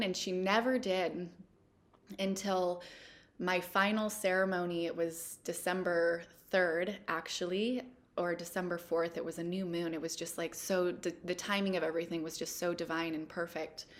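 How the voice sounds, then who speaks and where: This woman has a medium-pitched voice and speaks with a Pacific Northwest accent. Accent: American, Pacific Northwest. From Washington State, US. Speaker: plant medicine practitioner. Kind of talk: interview.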